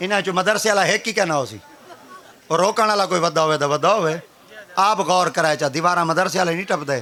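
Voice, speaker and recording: Crowd noise fills the background as a man speaks with a high pitch. His pitch varies in an ordinary way. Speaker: Islamic preacher. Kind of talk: religious sermon (bayan) in Urdu.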